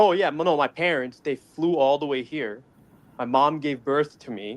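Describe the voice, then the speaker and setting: A normal speaking voice with an American accent, moderate pace and ordinary pitch variation. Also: man, fairly high pitch for a man. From Dubai, Middle East. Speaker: caller. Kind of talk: casual chat.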